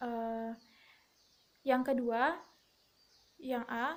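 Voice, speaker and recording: A woman is speaking. Her pace is very slow. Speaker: university student. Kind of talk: oral exam answers. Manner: halting.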